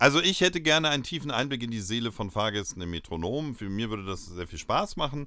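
A man talks at a very fast pace in a bright, sharp tone with lively intonation, on a very clean recording with a silent background. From northern Germany, Lower Saxony (Uelzen). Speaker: comedy podcast co-host. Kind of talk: casual comedic chat.

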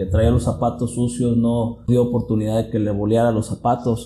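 A dark, mellow tone carries this somewhat breathy voice. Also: man. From Mexico, southern Jalisco (Tuxpan). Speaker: mechanical engineer and business owner. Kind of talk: interview.

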